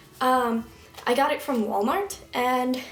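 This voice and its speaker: Very slow pace and ordinary pitch variation, with music in the background. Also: woman. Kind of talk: casual talk to camera.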